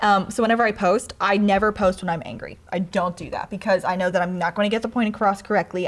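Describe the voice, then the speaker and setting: Intonation stays fairly even as a woman speaks at a very fast pace. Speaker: social media video creator. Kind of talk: casual chat.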